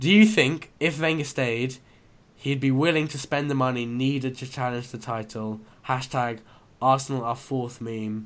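A man has a plain, everyday voice. It sits at medium pitch with ordinary pitch variation. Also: moderate pace. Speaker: podcast host. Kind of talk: casual chat. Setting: remote call recording.

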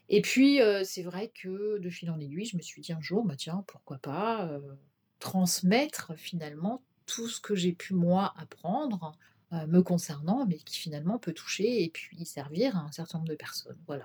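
Her voice somewhat breathy and fairly low in pitch, a woman speaks at a fairly slow pace with lively intonation and big swings in loudness. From Brittany, France. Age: 50s. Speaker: shopkeeper and naturopath. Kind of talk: interview. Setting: her office. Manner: hesitant, many fillers.

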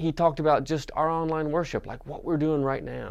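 A man speaks with an American accent. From Western North Carolina mountains. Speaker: pastor. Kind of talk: sermon. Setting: recorded for online worship.

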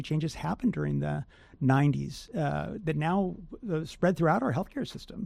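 With an American accent, a man speaks in a dark, mellow tone with ordinary pitch variation. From Southern California. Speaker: foundation president. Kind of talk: interview.

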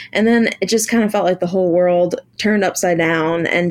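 A woman with a normal speaking voice and an American accent talks at a fairly low pitch with ordinary pitch variation. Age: 30s. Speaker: musician. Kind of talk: casual interview chat.

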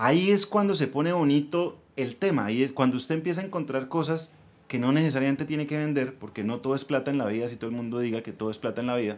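A man rattles along at a very fast pace, his pitch fairly high and its variation ordinary. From Colombia, Bucaramanga (Santander). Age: 40s. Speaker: entrepreneur, former ad agency owner. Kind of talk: casual interview.

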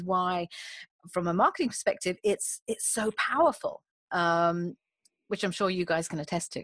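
A woman with a British accent speaks at a moderate pace in a medium pitch. The sound is dry and close with no echo, over a quiet background. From UK. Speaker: executive coach and recruiter. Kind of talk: casual interview conversation. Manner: hesitant, repeats words, talkative.

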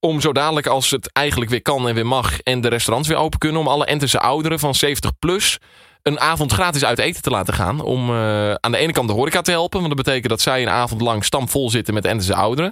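At a very fast pace and with hardly any pauses, a man of medium pitch speaks in a bright, sharp tone with ordinary pitch variation and very even loudness. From Twente, eastern Netherlands (Enter). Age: 20s. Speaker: radio producer. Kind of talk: interview. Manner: halting, with many fillers.

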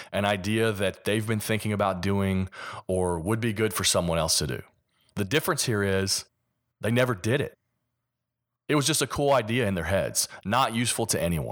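With a Kentucky accent, a man speaks at a fairly low pitch and moderate pace, using ordinary pitch variation and long, frequent pauses, in a very clean recording with a silent background. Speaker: podcast host. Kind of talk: solo podcast monologue.

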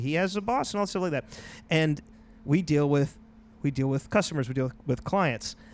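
On a very clean recording with a silent background, a man uses an ordinary speaking voice, pitched fairly high, with lively intonation. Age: 30s. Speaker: podcast host. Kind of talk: casual chat.

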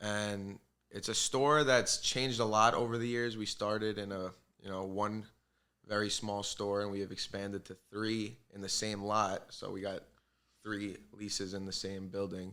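A man speaks in a bright, sharp tone at a fairly low pitch. His intonation is monotone and flat, his pace moderate. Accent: New York. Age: 20s. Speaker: bagel shop owner. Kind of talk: casual chat.

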